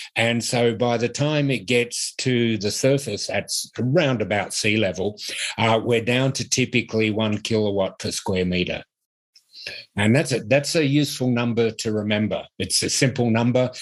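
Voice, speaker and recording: In a very clean recording with a silent background, a man with an Australian accent speaks at a medium pitch and moderate pace with ordinary pitch variation. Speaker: university professor. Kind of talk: lecture. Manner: hesitant, with frequent fillers.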